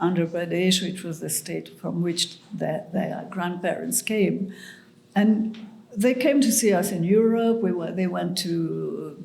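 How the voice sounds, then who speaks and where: Amid audible room echo, a woman talks at a fairly slow pace, with a medium pitch and ordinary pitch variation. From Mauritius. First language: French and Mauritian Creole. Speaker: writer. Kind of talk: interview conversation. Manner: halting.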